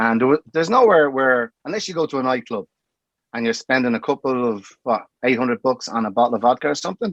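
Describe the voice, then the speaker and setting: A man with an Irish accent speaks at a very fast pace in a medium pitch with ordinary variation, the sound dry and close with no echo. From Ireland. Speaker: bar owner. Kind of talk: casual chat.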